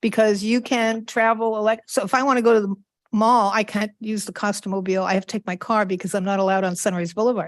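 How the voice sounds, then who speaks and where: Against a quiet background, the speech races along at a very fast pace with fairly even intonation. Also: woman, fairly high pitch for a woman. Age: 70s. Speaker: city council member. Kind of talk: council meeting report. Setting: council chamber, cablecast meeting. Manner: casual, chatty.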